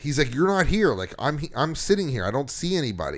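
Speaking at a moderate pace with lively intonation, this is an unremarkable speaking voice on a very clean recording with a silent background. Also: man. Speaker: podcast host. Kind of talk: casual chat. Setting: studio.

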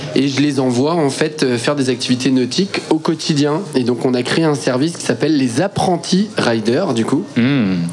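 Against music in the background, a man with a fairly high pitch talks at a moderate pace with ordinary pitch variation. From Brittany, France (Quimperlé). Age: 30s. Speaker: water sports entrepreneur. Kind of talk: casual radio interview. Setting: live broadcast from a festival.

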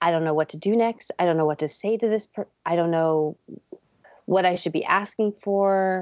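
A woman in a plain, everyday voice speaks at a medium pitch, the sound dry and close with no echo. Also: moderate pace. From Canada. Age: 40s. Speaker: artist and author. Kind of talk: interview. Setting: remote call.

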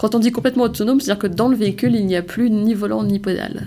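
A woman's fairly high voice in a dark, mellow tone, with ordinary pitch variation. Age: 20s. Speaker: startup co-founder. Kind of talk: interview.

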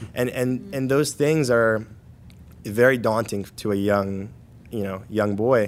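A man with an American accent speaks in an unremarkable speaking voice, fairly low in pitch with fairly even intonation. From New Jersey, Paterson. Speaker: university student, military veteran. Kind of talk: podcast interview.

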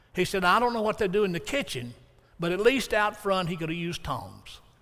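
Here a man speaks with an Alabama accent. His voice is high for a man, and his intonation is lively. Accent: Southern US (Alabama). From US South. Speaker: preacher. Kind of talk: sermon. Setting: church with congregation.

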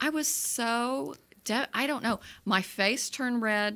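A woman speaks at a fairly slow pace. Her tone is bright and sharp. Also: very clean recording, silent background. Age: 60s. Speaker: movie review podcast host. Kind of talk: casual chat. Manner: animated.

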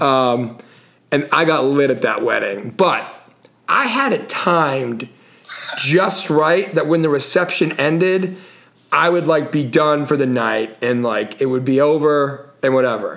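Over noticeable background noise, a man speaks fairly slowly at a fairly high pitch, with very even loudness and ordinary pitch variation. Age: 40s. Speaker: podcast host. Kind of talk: casual chat.

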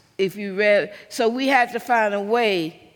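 Very slow speech with a Southern US accent on a very clean recording with a silent background. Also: woman. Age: 70s. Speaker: civil rights activist and preacher. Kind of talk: sermon-like speech. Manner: impassioned.

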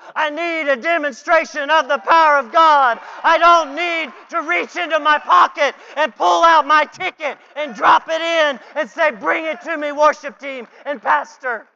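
A man's raised, projected voice at a fairly slow pace with ordinary pitch variation, crowd noise in the background. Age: 40s. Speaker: guest preacher. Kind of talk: sermon. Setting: church. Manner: animated.

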